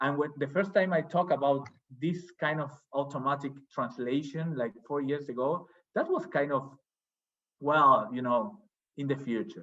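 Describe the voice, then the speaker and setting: A man's fairly high, bright, sharp voice with a Spanish accent, ordinary pitch variation and a moderate pace, broken by long, frequent pauses. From Argentina. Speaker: academic, journal editor. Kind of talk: academic seminar discussion. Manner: hesitant, repeats words.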